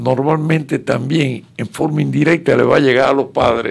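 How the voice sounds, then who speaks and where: There is vocal fry in this man's fairly high-pitched voice. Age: 90s. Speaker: exile political activist. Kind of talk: radio interview.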